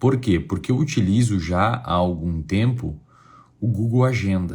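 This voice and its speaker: Soft-spoken and somewhat breathy, a man with a fairly low pitch and a dark, mellow tone speaks with lively intonation. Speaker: psychology teacher. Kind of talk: online lecture. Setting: hotel room.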